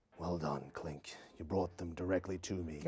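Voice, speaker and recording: A man in a put-on character voice, very deep and low in pitch, at a moderate pace. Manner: commanding.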